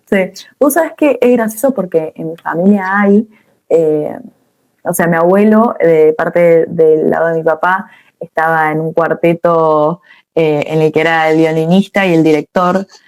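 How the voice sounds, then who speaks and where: A woman's ordinary speaking voice, fairly low in pitch with ordinary pitch variation, at a fairly slow pace in a dry, close sound with no echo. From Argentina, Córdoba. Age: 20s. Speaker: rock singer-songwriter. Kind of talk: interview.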